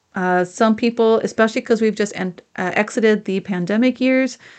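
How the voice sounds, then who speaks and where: With an unremarkable speaking voice, a woman talks at a fairly high pitch with fairly even intonation over a quiet background. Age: 50s. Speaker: podcast host and business coach. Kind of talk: solo podcast monologue, advice talk.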